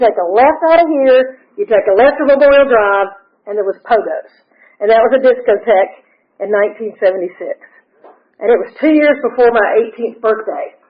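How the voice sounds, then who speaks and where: With an Atlanta accent, a woman talks at a fairly high pitch with lively intonation. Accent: Southern US (Atlanta). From US South. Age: 60s. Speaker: recovery speaker. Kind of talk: testimony.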